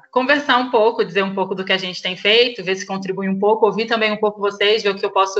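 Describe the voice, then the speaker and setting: Ordinary pitch variation in a Carioca accent. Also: woman. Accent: Carioca (Rio de Janeiro). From Rio de Janeiro, Brazil. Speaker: school coordinator. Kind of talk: online presentation to fellow educators. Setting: video call.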